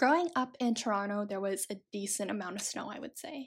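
A woman's plain, everyday voice, fairly high in pitch, at a moderate pace with a Canadian accent, on a very clean recording with a silent background. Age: 20s. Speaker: podcaster. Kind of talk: solo monologue.

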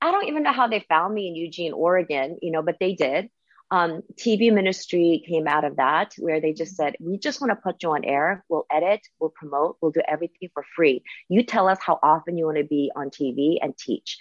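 A woman speaks in an Asian accent at a fairly quick pace. Her voice is fairly low, with ordinary pitch variation. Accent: noticeable Asian. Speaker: Bible teacher and radio minister. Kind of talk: casual interview chat.

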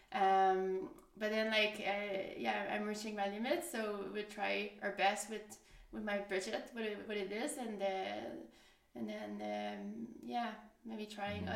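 Room echo and noticeable background noise surround this recording. A woman speaks at a fairly slow pace. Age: 30s. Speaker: podcast guest. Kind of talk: casual storytelling.

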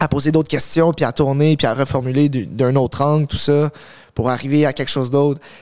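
Recorded very cleanly over a silent background, a man with a plain, everyday voice speaks at a fairly quick pace and fairly high pitch. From Montreal, Quebec. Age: 20s. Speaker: fitness coach, content creator. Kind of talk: casual interview.

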